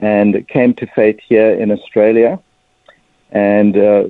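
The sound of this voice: In a dry, close sound with no echo, a man speaks slowly with a South African accent. His pitch is fairly low, with little pitch movement.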